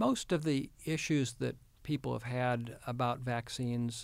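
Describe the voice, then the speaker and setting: Speaking at a fairly slow pace, a man with a normal speaking voice talks with an American accent. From Houston, Texas. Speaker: state health official, physician. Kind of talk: interview.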